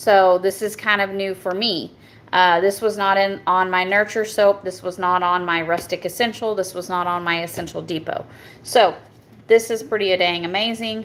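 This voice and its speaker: A woman speaks with a strong Southern US accent. Her intonation stays monotone and flat. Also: medium pitch for a woman, moderate pace. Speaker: soap maker. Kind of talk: product review. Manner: halting, stumbles over words.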